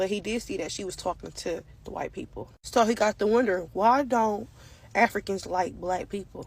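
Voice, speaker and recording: A woman speaks in an animated tone at a medium pitch, with ordinary pitch variation and some vocal fry. Her pace is moderate, and her loudness swings widely. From Africa. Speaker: social media commentator. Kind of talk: monologue.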